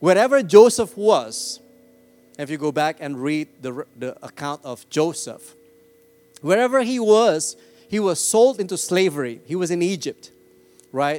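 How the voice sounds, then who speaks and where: A man speaks in a high voice with very wide swings in pitch. His pace is fairly slow, broken by long, frequent pauses. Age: 40s. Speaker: pastor. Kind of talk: sermon. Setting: church. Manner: animated.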